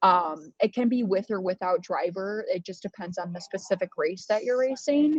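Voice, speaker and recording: Here a woman with an American accent has an ordinary speaking voice at medium pitch with ordinary pitch variation. The sound is dry and close, with no echo. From United States. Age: 20s. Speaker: racing driver and law student. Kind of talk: interview.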